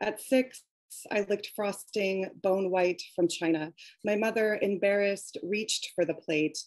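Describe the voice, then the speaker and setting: This woman speaks with an American accent at a fairly slow pace, her pitch medium and her intonation fairly even. Her loudness stays very even, and the sound is dry with no echo against a quiet background. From US Pacific Northwest (Coast Salish). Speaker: poet and author. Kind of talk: poetry reading; casual conversation. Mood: calm, reflective. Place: home room. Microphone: webcam.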